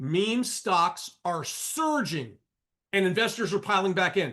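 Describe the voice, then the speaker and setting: Against a quiet background, a man speaks at a fairly slow pace. His tone is animated and his intonation lively. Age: 60s. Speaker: trading educator and professor. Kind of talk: live trading show monologue. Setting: live broadcast.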